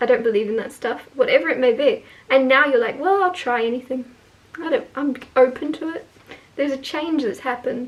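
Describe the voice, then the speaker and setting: Her voice sits high, and its pitch rises and falls in an ordinary way. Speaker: tarot reader. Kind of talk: tarot reading monologue. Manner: casual, hesitant with fillers.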